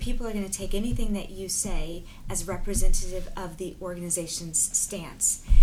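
Audible room echo surrounds a woman speaking at medium pitch and a moderate pace with fairly even intonation. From US, born in Bermuda. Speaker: business school dean. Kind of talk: interview.

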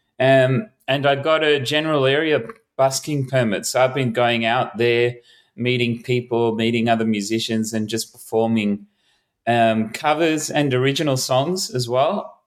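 A man talks with an Australian accent at a moderate pace and ordinary pitch variation. The recording is very clean, with a silent background. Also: medium pitch for a man. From Melbourne, Australia. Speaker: street musician. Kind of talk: casual interview. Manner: halting.

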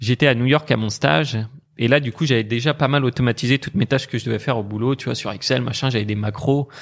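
Words come at a very fast pace with ordinary pitch variation. The recording is very clean, the background silent. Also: man, medium pitch for a man. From France, Brittany. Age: 20s. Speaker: online entrepreneur and investor. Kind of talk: casual interview.

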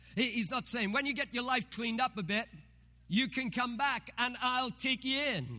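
A man's raised, projected voice at an extremely high pitch, ordinary pitch variation, very even loudness and moderate pace, with music in the background. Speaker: pastor. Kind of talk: sermon. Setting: church.

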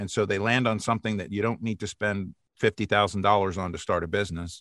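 In a very clean recording with a silent background, a man with a bright, sharp tone and fairly low pitch speaks at a moderate pace. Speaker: voiceover artist, podcast guest.

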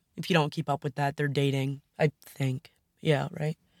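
A fairly quick-talking woman with an American accent and vocal fry, in a dry, close sound with no echo on a very clean recording with a silent background. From US Northeast, Long Island, New York. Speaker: podcast host, college lacrosse goalie and lifeguard. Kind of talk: casual solo podcast monologue.

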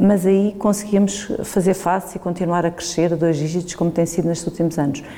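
A woman speaks in a fairly low voice with monotone, flat intonation. Noticeable background noise can be heard. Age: 50s. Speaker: business executive. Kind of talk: interview.

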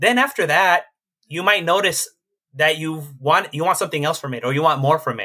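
Fairly high-pitched with a bright, sharp tone, a man talks at a fairly quick pace and ordinary pitch variation. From Los Angeles (Koreatown), Mexican-American. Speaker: Buddhist monk. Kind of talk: casual interview.

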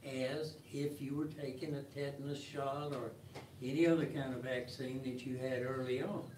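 Over noticeable background noise, a man speaks fairly slowly with fairly even intonation and a fairly high pitch. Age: 70s. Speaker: group member.

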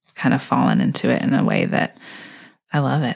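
With an American accent, a woman speaks in a very deep, low-pitched voice. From Houston, Texas. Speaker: homemaker and wellness educator. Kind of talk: casual chat.

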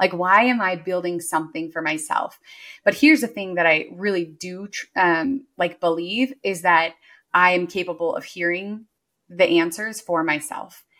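A woman talks in an ordinary speaking voice. Her pitch is fairly low. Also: ordinary pitch variation, moderate pace. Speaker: business coach and entrepreneur. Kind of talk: casual interview chat.

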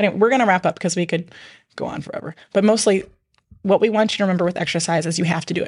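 Over a quiet background, the speaker goes at a very fast pace, somewhat breathy, with fairly even intonation. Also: woman, medium pitch for a woman. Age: 40s. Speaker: podcast host, mom. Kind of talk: casual chat.

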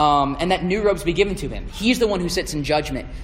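A man with a Southern US accent speaks at a fairly quick pace in a high voice. Noticeable background noise and audible room echo fill the recording. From US South (Georgia and Alabama). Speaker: campus ministry intern. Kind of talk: sermon. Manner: halting.

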